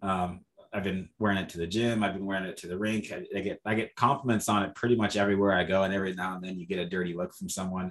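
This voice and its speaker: The delivery is very fast, with monotone, flat intonation. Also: man, hardly any pauses. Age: young. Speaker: podcast host, bodybuilding coach. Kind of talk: scripted intro; interview.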